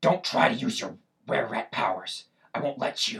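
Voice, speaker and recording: A man puts on a raspy character voice at a moderate pace. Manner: menacing, taunting.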